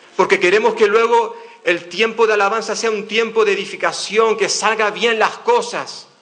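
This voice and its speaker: Over noticeable background noise and audible room echo, a man with a high pitch projects a raised voice at a moderate pace, keeping his intonation fairly even. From Canary Islands, Spain. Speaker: pastor. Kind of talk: sermon. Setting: church.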